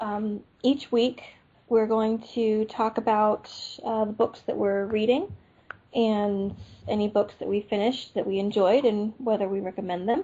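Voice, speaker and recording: A woman's unremarkable speaking voice, fairly high in pitch, with fairly even intonation. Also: fairly slow pace. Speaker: podcast co-host. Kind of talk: casual chat.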